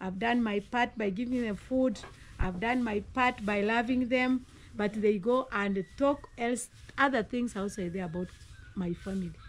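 Here a woman talks with a Kenyan accent. Her pitch is fairly high and her pace moderate. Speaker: mother of the host, teacher and preacher; mother of the host, teacher, preacher. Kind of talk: casual chat; casual conversational advice. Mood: earnest, reflective. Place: garden. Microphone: phone near.

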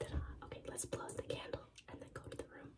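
Someone whispers quietly at a very fast pace. Noticeable background noise is present. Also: woman. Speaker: vlogger. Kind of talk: casual vlog chat. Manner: hushed whisper at night. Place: bathroom. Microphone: phone near.

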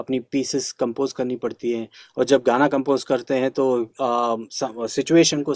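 The recording of this man is dry with no echo, over a quiet background. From Karnataka, India (Dharwad), raised partly in Hyderabad and Delhi; Karnataka. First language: Kannada (speaking Hindi). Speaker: classical flute player; interviewee. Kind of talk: interview. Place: home room.

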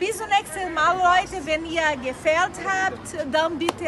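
Through noticeable background noise, a woman with an extremely high pitch speaks at a very slow pace with a Brazilian accent. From Brazil, Rio de Janeiro. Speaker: YouTuber. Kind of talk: casual chat. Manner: animated; halting. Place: street. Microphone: phone near.

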